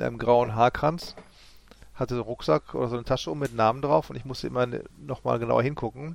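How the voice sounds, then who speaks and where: The pace is very fast. A man talks at a medium pitch with ordinary pitch variation. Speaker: podcast co-host. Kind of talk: casual chat.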